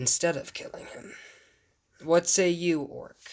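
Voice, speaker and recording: Using a raspy put-on character voice, a man speaks fairly slowly at a high pitch. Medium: actual play. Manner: cold, regal.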